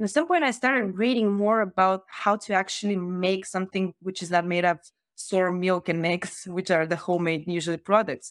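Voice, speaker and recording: Talking at a fairly quick pace, a woman with a Bulgarian accent keeps a medium pitch. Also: ordinary pitch variation, quiet background. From Bulgaria, Varna. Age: 20s. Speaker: startup founder. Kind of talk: casual interview.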